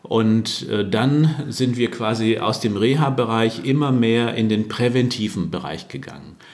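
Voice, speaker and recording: Heard with audible room echo, a man of medium pitch talks at a fairly slow pace. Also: ordinary pitch variation. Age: 60s. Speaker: workplace health consultant. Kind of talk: interview.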